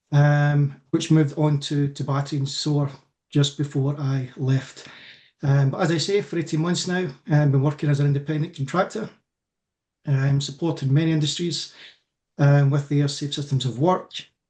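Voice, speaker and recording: In a Scottish accent, the speaker keeps a moderate pace in a somewhat breathy, dark, mellow tone with monotone, flat intonation. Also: man, fairly high pitch for a man. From Scotland. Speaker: electrical safety consultant. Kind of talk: self-introduction in webinar.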